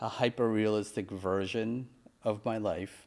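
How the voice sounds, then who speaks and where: A man speaks at a fairly slow pace in an unremarkable speaking voice of medium pitch. He has an American accent. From Pennsylvania, Mechanicsburg. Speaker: podcast host, filmmaker. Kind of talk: casual chat.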